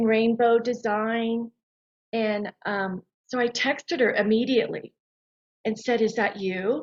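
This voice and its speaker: A woman's fairly high voice at a fairly slow pace, a normal speaking voice. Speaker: sound healing practitioner. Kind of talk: casual chat.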